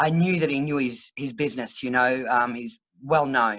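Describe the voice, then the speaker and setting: This woman speaks with an Australian accent and a very deep, low pitch. Her pitch varies in an ordinary way at a fairly slow pace over a quiet background. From Queensland, Australia (Brisbane). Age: 60s. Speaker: country singer-songwriter. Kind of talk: casual interview. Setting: video call.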